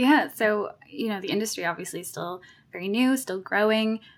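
A woman's voice of medium pitch with ordinary pitch variation. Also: moderate pace.

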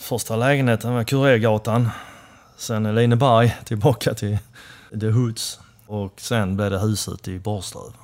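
A man with a plain, everyday voice, medium pitch and fairly even intonation at a fairly slow pace. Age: 50s. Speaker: motorcycle builder and shop owner. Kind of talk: casual interview. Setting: motorcycle shop.

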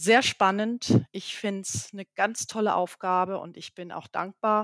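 In an ordinary speaking voice with ordinary pitch variation, a woman talks at a fairly slow pace in a dry, close recording with no echo. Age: 50s. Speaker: company CEO. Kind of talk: interview. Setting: video call.

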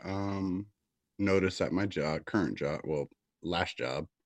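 A man speaks in a normal speaking voice at a fairly slow pace with a fairly low pitch. The sound is dry and close with no echo, against a quiet background. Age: 40s. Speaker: podcast co-host. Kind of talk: casual chat.

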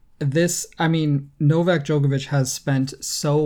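A dark, mellow, somewhat breathy voice with an American accent and fairly even intonation. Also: man. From United States. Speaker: tennis podcast co-host. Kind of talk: casual chat.

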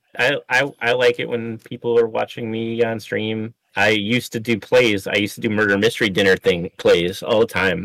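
In a normal speaking voice, a man talks at a moderate pace with hardly any pauses. His medium pitch stays fairly even, and the sound is dry and close with no echo. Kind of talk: casual chat, answering questions.

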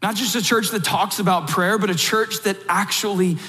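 A moderate pace in a South Georgia accent. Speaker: pastor. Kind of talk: sermon.

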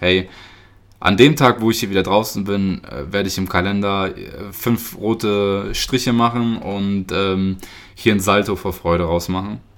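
A man speaks with a fairly low pitch. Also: very clean recording, silent background. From Germany, near Göttingen (Lower Saxony). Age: 20s. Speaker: podcast host. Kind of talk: personal monologue. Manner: hesitant, many filler sounds.

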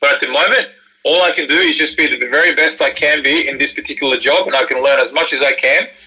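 A man with an Australian accent at a very fast pace, with music in the background. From Sydney, Australia (born in Croatia). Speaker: former basketball player and entrepreneur. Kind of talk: interview. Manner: hesitant, many fillers and repeats.

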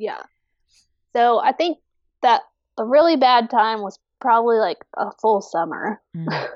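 A woman with a fairly high pitch speaks at a fairly slow pace with lively intonation. Her pauses are long and frequent. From US, army family, moved around. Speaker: fiber artist. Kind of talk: casual interview. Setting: video call.

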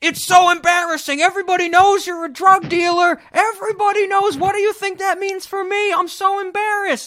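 Shouting in a put-on character voice, extremely high in pitch and at a fairly quick pace. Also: hardly any pauses. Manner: screaming.

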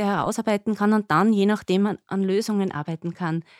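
Recorded dry and close with no echo against a silent background, a woman has an ordinary speaking voice, with a medium pitch and moderate pace, in a very clean recording. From Upper Austria. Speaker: nurse and diabetes educator. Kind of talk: podcast interview.

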